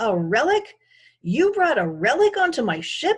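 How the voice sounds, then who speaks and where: Putting on a character voice, a woman speaks in an angry tone at a high pitch and a moderate pace. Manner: angry, incredulous.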